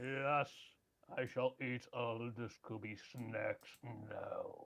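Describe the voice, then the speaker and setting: Putting on a character voice, a man talks at a very slow pace at a medium pitch. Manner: demonic.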